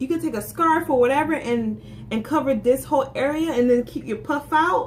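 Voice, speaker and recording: Speaking in an American accent at a fairly quick pace, a woman with a high pitch sounds animated over noticeable background noise. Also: ordinary pitch variation. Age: 20s. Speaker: beauty vlogger. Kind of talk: casual vlog monologue. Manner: halting, many self-corrections.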